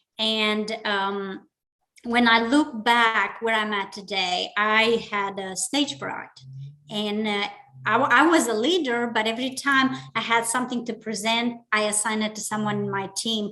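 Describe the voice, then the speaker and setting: With a Romanian accent, a woman of fairly high pitch speaks fairly slowly in a bright, sharp tone with ordinary pitch variation. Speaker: business leader and public speaking club member. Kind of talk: interview.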